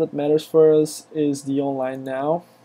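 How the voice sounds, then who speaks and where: A man speaks with a Brazilian accent. His pitch sits fairly high. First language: Portuguese. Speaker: software developer, screencaster. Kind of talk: tutorial. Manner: hesitant, many fillers.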